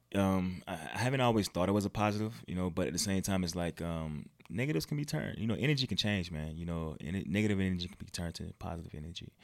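A man speaks at a very fast pace with lively intonation. His pitch is very deep and low. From Virginia (Hampton Roads, 757). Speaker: model and former pro football player. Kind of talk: casual interview.

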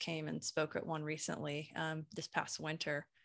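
Her pitch is very deep and low. The woman talks at a moderate pace. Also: very clean recording, silent background. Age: 40s. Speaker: copywriter and brand messaging consultant. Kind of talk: casual interview chat. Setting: podcast recording. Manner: animated.

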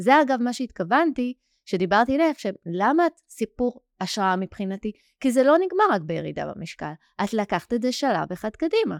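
On a very clean recording with a silent background, a woman speaks at a moderate pace with very wide pitch swings, the sound dry and close with no echo. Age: 40s. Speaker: weight-loss coach and podcast host. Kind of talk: interview.

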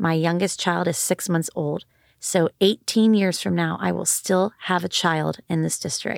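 At a fairly slow pace, a woman with a fairly low pitch, ordinary pitch variation and an unremarkable speaking voice is heard on a very clean, dry, close recording with a silent background and no echo. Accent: American. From Texas, Austin area. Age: 30s. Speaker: school board candidate. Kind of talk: interview.

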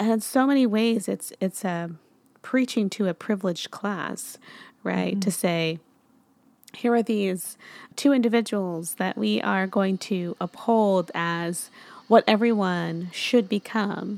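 A woman speaks in an ordinary speaking voice at a medium pitch. She keeps a fairly slow pace with ordinary pitch variation. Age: 30s. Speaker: podcast host. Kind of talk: casual interview.

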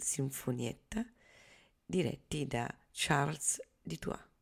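Very slow and very deep, a woman's low voice carries vocal fry in a very clean recording with a silent background. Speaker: radio host. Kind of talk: radio announcement, scripted programme introduction. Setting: radio studio broadcast. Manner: formal, measured, even-paced.

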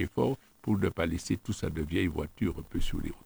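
Somewhat breathy, a man's voice comes through in a dry, close sound with no echo. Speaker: local politician. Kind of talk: radio interview.

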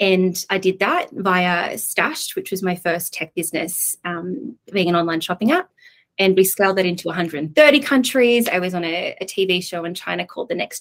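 A woman speaks with an Australian accent at a moderate pace, her pitch sitting in the middle of a woman's range. Her pitch varies in an ordinary way, and she hardly pauses at all. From Australia, Coffs Harbour. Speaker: tech entrepreneur. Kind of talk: podcast interview.

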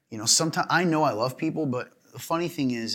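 With an American accent, this man's words tumble out at a very fast pace. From US South. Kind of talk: casual chat; reading scripture aloud. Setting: studio.

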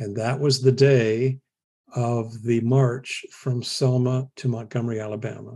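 A dark, mellow tone, somewhat breathy, with fairly even intonation and an American accent. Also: man. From US Midwest. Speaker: historian. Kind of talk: interview.

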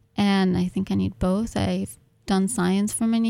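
This woman has a Russian accent. She keeps a moderate speed. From Ukraine and South America. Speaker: graduate student poet. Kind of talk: radio interview.

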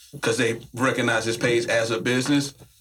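A man speaks in a Southern US accent at a medium pitch. His intonation stays monotone and flat. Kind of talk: casual chat.

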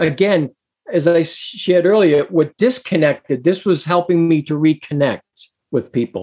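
A man with an American accent, high in pitch with a dark, mellow tone, at a moderate pace, in a dry, close sound with no echo. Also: ordinary pitch variation. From Massachusetts. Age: 60s. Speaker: abuse survivor advocate and singer-songwriter. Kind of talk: interview.

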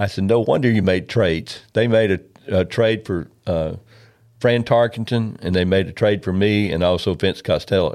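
A man's fairly low voice with a Southern US accent. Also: ordinary pitch variation, moderate pace, quiet background. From Memphis, Tennessee. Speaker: retired pro football player. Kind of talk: interview storytelling. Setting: studio.

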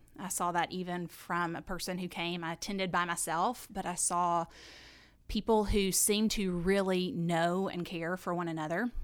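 With a Southern US accent, a woman talks at a moderate pace in a fairly low pitch and fairly even intonation, in a very clean recording with a silent background. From US South, south Alabama. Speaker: church member and women's ministry deacon. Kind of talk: casual chat.

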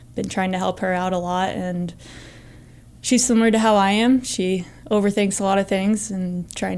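A woman with an ordinary speaking voice talks at medium pitch and a moderate pace, using ordinary pitch variation. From Northern Virginia. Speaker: college soccer assistant coach, former pro player. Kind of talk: interview. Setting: studio.

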